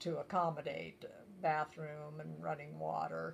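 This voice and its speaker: With music playing behind her, a woman talks at a fairly slow pace in a US Midwestern accent. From rural Nebraska, US Midwest. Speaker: grandmother interviewed for a school project. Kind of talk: oral history interview.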